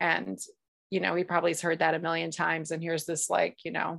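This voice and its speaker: A woman speaks at a fairly low pitch with vocal fry and fairly even intonation. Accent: American. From US. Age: 40s. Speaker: yoga teacher and healer. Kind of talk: casual interview.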